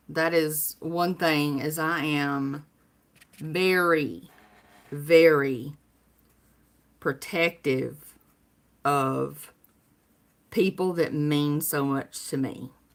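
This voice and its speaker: A woman speaks very slowly with a Southern US accent. Her pitch is very deep and low, and she leaves long, frequent pauses. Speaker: livestreamer, cancer survivor. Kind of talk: casual live stream chat. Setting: home live stream. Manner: animated.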